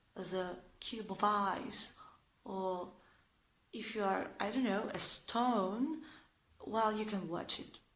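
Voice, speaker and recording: Speaking very slowly with an Italian accent, a woman uses a medium pitch while room echo is audible. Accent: Italian accent, non-native English. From northern Italy. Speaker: vlogger. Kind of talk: casual vlog talk to camera. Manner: talkative, hesitant with fillers; sarcastic, ironic.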